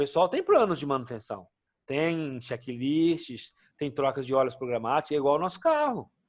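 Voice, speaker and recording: Over a quiet background, a man talks in an ordinary speaking voice at a moderate pace, fairly high in pitch with ordinary pitch variation. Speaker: occupational safety instructor. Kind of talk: lecture.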